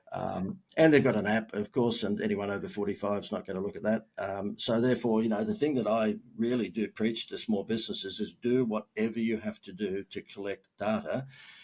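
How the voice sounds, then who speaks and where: A man with an Australian accent talks at a fairly quick pace in a medium pitch, with fairly even intonation and hardly any pauses. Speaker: marketing expert. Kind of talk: podcast interview. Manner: casual, with many fillers.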